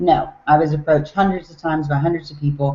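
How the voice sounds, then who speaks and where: A woman talks at a fairly quick pace with a Southern US accent. Her pitch sits fairly low, and her intonation stays fairly even. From US South, Tennessee. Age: 40s. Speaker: network marketing distributor. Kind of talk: online webinar talk.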